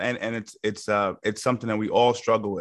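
A man speaks at a moderate pace in a New York accent with monotone, flat intonation. The background is quiet. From Yonkers, New York. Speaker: MMA coach. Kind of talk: casual chat.

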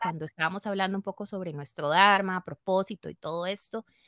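In a Costa Rican accent, the speaker has a bright, sharp tone captured in a dry, close sound with no echo. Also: woman. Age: 30s. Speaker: yoga teacher and studio owner. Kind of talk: interview.

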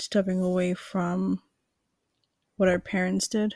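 The voice has a New York accent, a dark, mellow tone and monotone, flat intonation. The sound is dry and close with no echo, on a very clean recording with a silent background. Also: woman. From Queens, New York. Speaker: podcast co-host. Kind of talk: casual chat.

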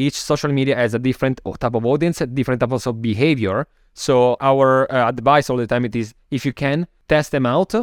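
At a fairly quick pace, a man speaks in a medium pitch with ordinary pitch variation. The sound is dry and close, with no echo. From Italy (Milan). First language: Italian. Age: 30s. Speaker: marketing agency founder. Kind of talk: interview. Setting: video call. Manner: frequent fillers like 'you know'.

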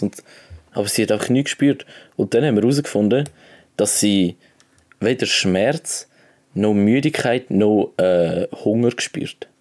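A man's medium-pitched voice with a Swiss accent, ordinary pitch variation, a fairly slow pace, and long, frequent pauses, in a very clean recording with a silent background. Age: young. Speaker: podcast co-host, apprentice. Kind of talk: casual chat. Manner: animated.

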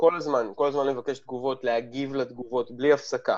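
This man's voice sits at a medium pitch. He speaks at a moderate pace. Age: 40s. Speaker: lecturer and habits coach. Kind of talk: interview conversation. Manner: blunt, direct.

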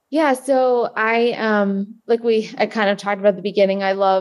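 A woman's medium-pitched, fairly even delivery in an ordinary speaking voice, with an American accent. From New Jersey, US. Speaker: ultramarathon runner. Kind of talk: interview.

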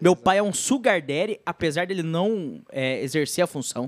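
A plain, everyday voice of a man at a moderate pace, ordinary pitch variation, dry, close sound with no echo. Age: 30s. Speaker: podcast host. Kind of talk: casual chat.

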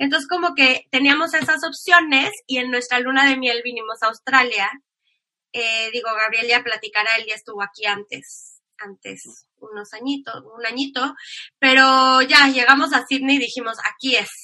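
A woman projects a raised, high-pitched voice with a bright, sharp tone at a moderate pace. Her pitch varies in an ordinary way while her loudness swings widely. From Mexico. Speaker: emigrant interviewee. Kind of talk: casual interview.

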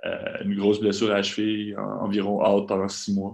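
A man speaks with a Quebec accent and a fairly low pitch. The background is quiet. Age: 20s. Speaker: professional basketball player. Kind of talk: interview.

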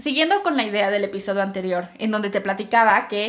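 At a moderate pace, a woman talks in a normal speaking voice, pitched fairly high. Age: 20s. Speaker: podcaster. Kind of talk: solo podcast monologue.

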